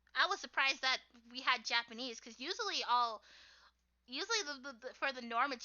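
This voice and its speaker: A squeaky, high-pitched woman's voice with an American accent, at a fairly quick pace and with ordinary pitch variation. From US, Haitian American family. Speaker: streamer and artist. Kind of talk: casual chat.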